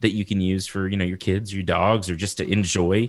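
A man with an American accent speaks very fast at a fairly low pitch. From Texas. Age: 30s. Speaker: horticulture lecturer and podcast host. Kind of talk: casual interview.

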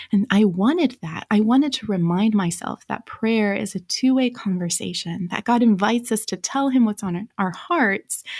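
A somewhat breathy woman with an American accent talks at a moderate pace with ordinary pitch variation, in a dry, close sound with no echo on a very clean recording with a silent background. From Romania, raised as American missionary kid. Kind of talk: radio interview.

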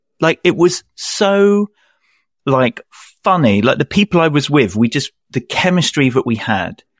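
A man with a British accent speaks at a fairly high pitch with very wide pitch swings. The recording is very clean, dry and close, with no echo and a silent background. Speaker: freelance audio and video editor, podcaster. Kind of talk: casual interview chat.

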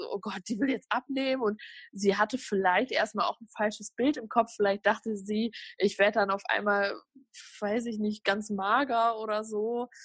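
A woman's fairly high, somewhat breathy voice at a moderate pace, with fairly even intonation and a dry, close sound with no echo against a quiet background. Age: 20s. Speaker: social media food influencer. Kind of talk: interview.

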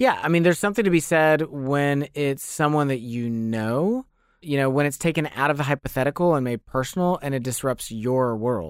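A man speaks in a normal speaking voice, fairly high in pitch, with ordinary pitch variation, at a moderate pace and with hardly any pauses. The recording is very clean, with a silent background. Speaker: podcast co-host. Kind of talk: casual chat.

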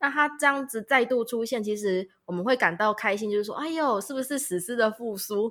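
This woman's voice is fairly high in pitch. Her tone is bright and sharp. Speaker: podcast co-host. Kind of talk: casual chat.

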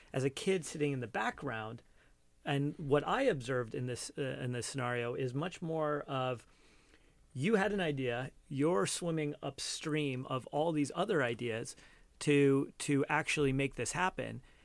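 A man's normal speaking voice, fairly high in pitch, with an American accent, moderate pace and ordinary pitch variation, against a quiet background. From Cupertino, California. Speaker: entrepreneur. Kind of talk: interview.

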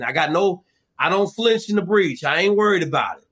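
A loud, high-pitched man's voice with a bright, sharp, animated tone and an American accent. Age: 50s. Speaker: former Navy SEAL and survival show guest. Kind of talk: casual interview chat with heavy profanity. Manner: loud, profane, animated.

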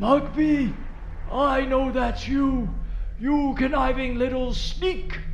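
In a raspy, put-on character voice, a man speaks very slowly over clear background noise. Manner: angry, scornful, cackling.

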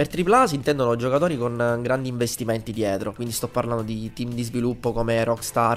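A man talks at a fairly quick pace at a medium pitch, with music playing in the background. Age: 20s. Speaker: game developer and teacher. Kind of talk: interview. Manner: halting.

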